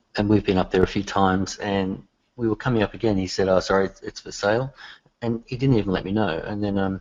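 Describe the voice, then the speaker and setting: Speaking very fast in an Australian accent, the voice keeps a fairly even intonation. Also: man, fairly low pitch for a man. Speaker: software developer. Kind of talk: casual chat. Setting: call.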